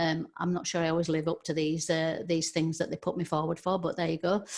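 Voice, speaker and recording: A woman speaks with a Yorkshire accent. Her intonation is monotone and flat. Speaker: social media trainer. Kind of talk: webinar presentation. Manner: hesitant, many fillers.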